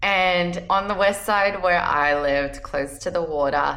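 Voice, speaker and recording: In an Australian accent, a woman speaks fairly slowly at a medium pitch with a bright, sharp tone. Her intonation is lively, and room echo can be heard. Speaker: travel points and credit card content creator. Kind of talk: personal vlog talk to camera. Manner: casual, conversational.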